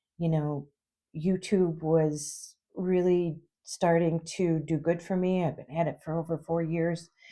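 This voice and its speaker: In a quiet background, a woman speaks with an Upper Midwest US accent. Her fairly low voice stays monotone and flat. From Minnesota. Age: 60s. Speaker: YouTuber and substitute teacher. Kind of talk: casual vlog talk to camera. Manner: halting, many fillers.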